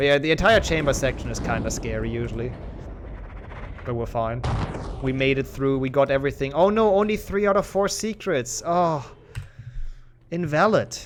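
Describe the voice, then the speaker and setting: Speaking with a German accent, a man uses lively intonation and a fairly high pitch at a moderate pace, with long, frequent pauses. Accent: German accent, improved but still noticeable. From Germany. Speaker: speedrun streamer. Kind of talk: casual chat. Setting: live stream. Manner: halting.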